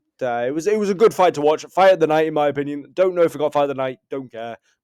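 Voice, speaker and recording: At a fairly high pitch, a man with an ordinary speaking voice talks with ordinary pitch variation. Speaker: MMA commentator. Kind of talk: casual fight recap.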